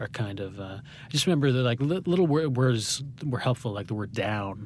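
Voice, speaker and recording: With an American accent, a man speaks in a medium-pitched voice with lively intonation and big swings in loudness. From New Hampshire, US. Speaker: playwright and poet. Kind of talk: interview. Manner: fast, talkative; halting, many false starts.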